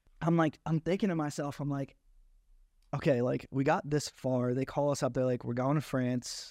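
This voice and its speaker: Fairly even intonation carries a dark, mellow tone on a very clean recording with a silent background. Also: man, fairly high pitch for a man, moderate pace. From South Jersey, Egg Harbor Township. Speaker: reality TV contestant. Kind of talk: casual interview.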